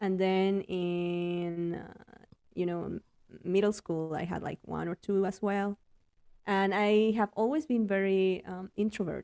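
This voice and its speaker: A woman with a Spanish accent, dark and mellow in tone, fairly slow and fairly even in intonation, with a dry, close sound and no echo. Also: medium pitch for a woman. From Mexico City. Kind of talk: interview. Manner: hesitant, many fillers and repetitions.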